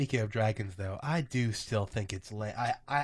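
On a very clean recording with a silent background, a man with a fairly low pitch sounds somewhat breathy, speaking at a moderate pace with ordinary pitch variation. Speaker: podcast host. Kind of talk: casual chat.

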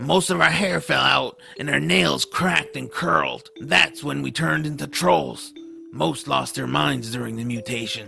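A put-on character voice moves at a moderate pace with clear music in the background. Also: man. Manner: bitter, grumpy.

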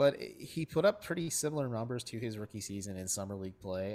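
On a very clean recording with a silent background, a man with an unremarkable speaking voice talks at a fairly quick pace and medium pitch with lively intonation. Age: 20s. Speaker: sports writer and podcaster. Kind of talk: casual chat.

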